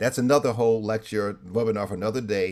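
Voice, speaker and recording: A man with an American accent speaks in a dark, mellow tone. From New York City (Harlem). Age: 60s. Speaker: clergy and trauma speaker. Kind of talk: webinar presentation. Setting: video call. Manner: preacherly, punctuated with amens.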